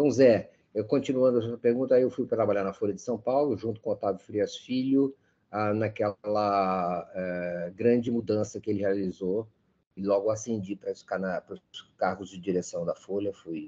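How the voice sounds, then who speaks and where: At a moderate pace, a man speaks in a fairly low, dark and mellow voice with ordinary pitch variation over a quiet background. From Brazil, Petrópolis, Rio de Janeiro state. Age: 60s. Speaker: journalist. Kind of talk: interview. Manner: halting, with repetitions.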